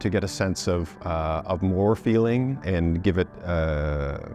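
Ordinary pitch variation, dry sound with no echo, faint music in the background. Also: man. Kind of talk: interview answer. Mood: calm, reflective. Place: hall. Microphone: lapel.

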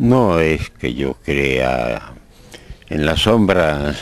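The recording is dry with no echo, carrying a man's very deep, low voice and lively intonation. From Spain. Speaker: poet. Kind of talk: interview answer. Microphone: handheld.

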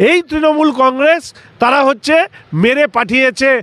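An extremely high-pitched man's voice, dry with no echo. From West Bengal, India. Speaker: politician. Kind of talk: media interview. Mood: combative political criticism. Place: street. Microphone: handheld.

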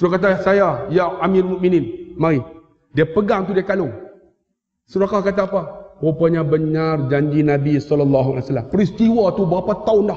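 Over a quiet background, a man with a Malaysian accent speaks in an animated tone at a fairly slow pace, his pitch high for a man and his loudness very even. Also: ordinary pitch variation. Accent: Malaysian Malay. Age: 50s. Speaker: Islamic teacher and preacher; Islamic teacher, preacher. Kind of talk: sermon and religious lecture with humor. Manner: loud, animated. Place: hall. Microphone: headset.

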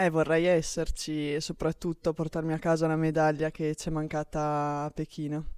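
A woman's very deep, low voice, monotone and flat, at a moderate pace with hardly any pauses, dry with no echo against a quiet background. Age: 20s. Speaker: archer; interviewee. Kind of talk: interview. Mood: friendly, smiling. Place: gym. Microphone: handheld.

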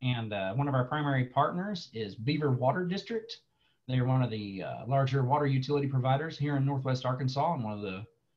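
Against a quiet background, a man talks at a very fast pace in a somewhat breathy voice. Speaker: presenter. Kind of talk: online presentation. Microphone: webcam.

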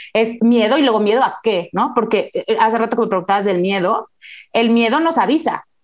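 A woman's fairly high voice at a fairly quick pace, very even in loudness, against a quiet background. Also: ordinary pitch variation. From Mexico. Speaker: neuropsychologist; guest. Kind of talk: interview. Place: home room. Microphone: earbuds.

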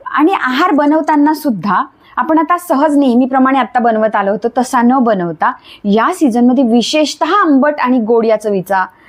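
Lively intonation and very even loudness come through over noticeable background noise. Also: woman, high pitch for a woman. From Khandesh, Jalgaon, Maharashtra. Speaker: Ayurvedic doctor. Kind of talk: interview, health advice.

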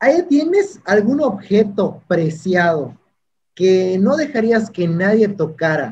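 A high-pitched man at a fairly slow pace, with light background noise. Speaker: YouTube interviewer. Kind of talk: interview. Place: home room. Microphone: studio mic.

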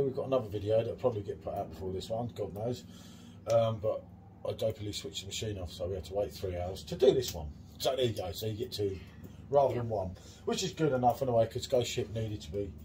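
A man's dark, mellow, somewhat breathy voice, very fast, with lively intonation and big swings in loudness over light background noise. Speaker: beer reviewer host. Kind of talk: casual vlog chat. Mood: jokey, laughing. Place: bar. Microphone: phone near.

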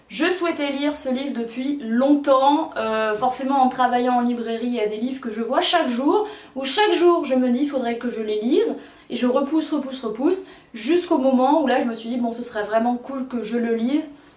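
With audible room echo around her, a woman talks at a moderate pace in a high pitch with ordinary pitch variation. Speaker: book reviewer. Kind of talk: casual vlog chat. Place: home room.

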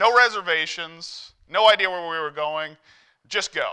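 A man speaks with a high pitch and a bright, sharp tone. The background is quiet. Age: 40s. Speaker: lay preacher. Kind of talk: sermon. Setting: church. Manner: halting. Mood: warm, humorous, conversational. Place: church.

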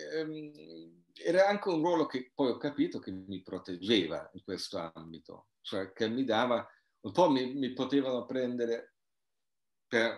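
A man with a German accent speaks at a fairly slow pace in a medium pitch, using very wide pitch swings. The background is quiet, with audible room echo. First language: German (speaking Italian). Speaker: anthropologist and author; guest. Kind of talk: interview. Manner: halting. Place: home room. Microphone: video call.

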